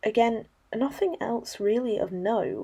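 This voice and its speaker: Her tone is dark and mellow. The woman's pitch varies in an ordinary way against a quiet background. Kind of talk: casual talk to camera.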